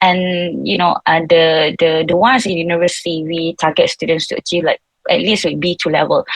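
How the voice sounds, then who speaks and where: In a dry, close sound with no echo, a woman with a Malaysian accent speaks at a fairly low pitch. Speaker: seminar panelist, English educator. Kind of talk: online seminar talk. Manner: halting, many fillers.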